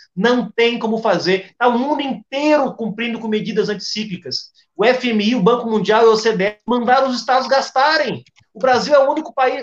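A man's extremely high voice with ordinary pitch variation and a fairly quick pace. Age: young. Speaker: party president, politician. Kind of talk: political panel debate.

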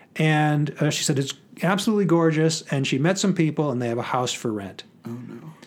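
The man has a normal speaking voice, fairly high in pitch. He moves at a fairly quick pace with lively intonation. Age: 50s. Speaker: author and professor. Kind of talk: casual chat.

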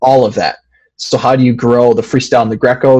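A man speaks at a fairly quick pace in a normal speaking voice. His pitch is medium. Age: 20s. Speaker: wrestler. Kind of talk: interview.

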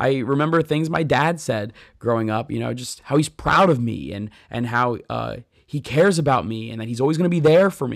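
A man with an ordinary speaking voice talks at a medium pitch with lively intonation. The recording is very clean, with a silent background. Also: fairly quick pace. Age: 30s. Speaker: pastor and podcast host. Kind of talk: faith podcast monologue.

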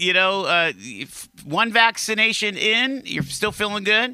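Raised and projected, this man's high-pitched voice has a bright, sharp tone on a very clean recording with a silent background. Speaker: radio host. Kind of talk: casual radio chat. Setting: studio.

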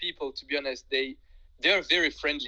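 A man with a French accent projects a raised voice, bright and sharp in tone, with lively intonation. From France. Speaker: guest who studied abroad. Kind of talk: casual interview. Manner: halting.

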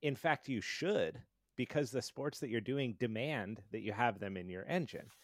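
On a very clean recording with a silent background, a man talks at a moderate pace and medium pitch with lively intonation. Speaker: podcast host. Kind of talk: casual interview. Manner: friendly, enthusiastic.

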